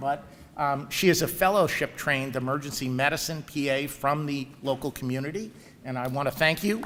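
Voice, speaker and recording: In a New York accent, a man talks at a fairly quick pace with a fairly high pitch. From New York area. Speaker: professor and program director. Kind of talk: ceremony speech. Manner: hesitant with frequent fillers.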